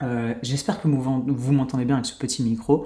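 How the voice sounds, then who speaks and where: Fairly quick, somewhat breathy speech from a man with a dark, mellow tone. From France. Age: 30s. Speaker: YouTuber and podcaster. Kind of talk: solo podcast monologue. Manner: casual, filler-heavy.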